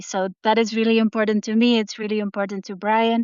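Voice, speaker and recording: A woman with a Dutch accent and a monotone, flat intonation. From Netherlands. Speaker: artist and novelist. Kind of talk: interview.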